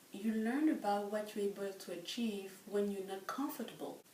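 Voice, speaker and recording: A woman with a French accent speaks fairly slowly at a fairly high pitch. There is audible room echo and noticeable background noise. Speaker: French professor. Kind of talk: interview.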